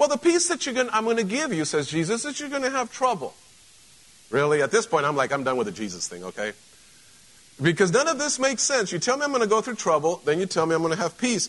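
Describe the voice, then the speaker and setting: An animated man at a high pitch, very wide pitch swings and a very fast pace. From Mexico. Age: 50s. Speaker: pastor. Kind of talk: casual, conversational Sunday sermon to a live congregation, joking asides. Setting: church service with live congregation. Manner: animated rhetorical questions and punchy repetition.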